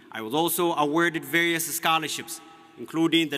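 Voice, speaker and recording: Noticeable background noise surrounds a man talking at a fairly high pitch and a fairly quick pace. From Ethiopia (Oromia). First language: Oromo. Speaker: graduating student speaker. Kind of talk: commencement speech. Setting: graduation ceremony with audience.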